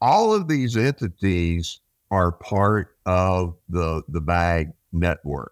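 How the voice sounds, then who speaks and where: A man's very deep, low voice at a very slow pace, with ordinary pitch variation and very even loudness, dry and close with no echo, on a very clean recording with a silent background. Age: 70s. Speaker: mortgage industry advisor. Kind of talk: casual interview.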